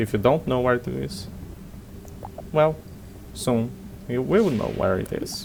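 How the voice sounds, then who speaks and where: With lively intonation and a non-native accent, the speaker talks over noticeable background noise. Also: man. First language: not English. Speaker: gaming YouTuber. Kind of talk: gameplay commentary. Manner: halting.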